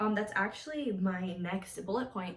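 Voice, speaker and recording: With audible room echo and noticeable background noise, a woman talks at a medium pitch with ordinary pitch variation. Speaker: college student, vlogger. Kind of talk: casual advice vlog. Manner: fast; casual, filler-heavy.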